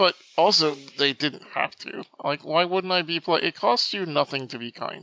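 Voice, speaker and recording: A man's high-pitched voice with ordinary pitch variation, in a dry, close sound with no echo. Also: moderate pace. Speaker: podcast host. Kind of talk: casual chat.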